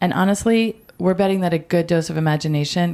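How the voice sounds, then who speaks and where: Using a normal speaking voice, a woman with an American accent speaks at a moderate pace and fairly low pitch with ordinary pitch variation, on a very clean recording with a silent background. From US, Baltimore area. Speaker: podcast co-host. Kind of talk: scripted podcast trailer.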